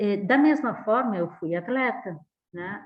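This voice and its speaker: This woman's voice sits fairly high. It swings up and down very widely. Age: 60s. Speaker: professor. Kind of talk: lecture.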